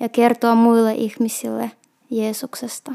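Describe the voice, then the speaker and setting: A woman speaks at a very slow pace with a Russian accent. Her voice is fairly high in pitch, with a dark, mellow tone. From Russia, Petrozavodsk. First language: Russian (speaking Finnish). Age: 30s. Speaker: shop assistant. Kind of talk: personal testimony. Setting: recorded on location in Lappeenranta.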